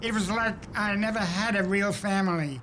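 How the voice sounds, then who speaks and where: Over background music, a man with a New York accent talks in a high voice. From New York City (Brooklyn). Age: 80s+. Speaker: cartoonist. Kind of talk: documentary interview.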